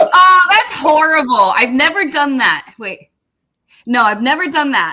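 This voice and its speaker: A raised, projected voice at a fairly slow pace, with very wide pitch swings. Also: woman, high pitch for a woman. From Massachusetts. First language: Portuguese. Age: 40s. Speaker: army veteran, radio co-host. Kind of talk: casual chat.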